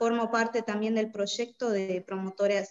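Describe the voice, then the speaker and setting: The speech moves at a fairly slow pace. It is a normal speaking voice. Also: woman. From Bolivia. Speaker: migrant community worker. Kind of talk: interview.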